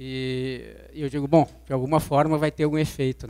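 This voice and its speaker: A fairly high-pitched man at a moderate pace in monotone, flat intonation, on a very clean recording with a silent background. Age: 40s. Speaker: physical education teacher. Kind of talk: personal testimony. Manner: hesitant, many fillers.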